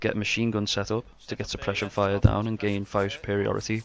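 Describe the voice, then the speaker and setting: A man with a strong Scouse accent, fairly low-pitched and flat, monotone in delivery. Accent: Scouse, strong enough that some struggle. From Liverpool, England. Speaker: gaming tutorial youtuber. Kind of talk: tutorial voiceover. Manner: instructive, measured.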